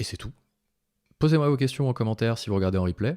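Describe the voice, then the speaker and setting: A man talking at a very fast pace with ordinary pitch variation, dry and close with no echo, on a very clean recording over a silent background. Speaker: software tools tutorial creator. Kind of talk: live screen-share tutorial. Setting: live stream. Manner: casual, conversational.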